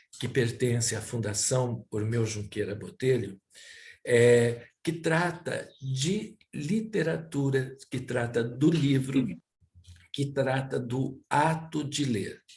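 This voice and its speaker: At a very slow pace, a man speaks with a medium pitch and lively intonation. His voice is somewhat breathy. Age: 70s. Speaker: cultural center director, interviewer. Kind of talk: interview introduction. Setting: at home, by a fireplace. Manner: hesitant, with filler sounds.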